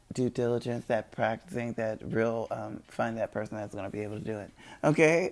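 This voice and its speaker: Speech at a moderate pace, very cleanly recorded against a silent background. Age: 30s. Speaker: podcaster promoting own game and web series. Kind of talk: casual monologue. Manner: rambling with many fillers.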